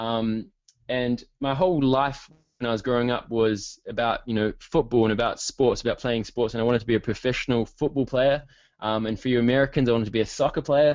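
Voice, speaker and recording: The speaker has a New Zealand accent. The delivery is fairly quick, with fairly even intonation. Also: man, medium pitch for a man. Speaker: online marketing coach. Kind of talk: webinar presentation. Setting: online webinar. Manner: fast; hesitant with many fillers.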